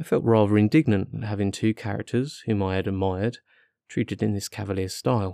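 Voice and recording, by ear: With fairly even intonation and a quiet background, the speaker is reading aloud in a natural voice.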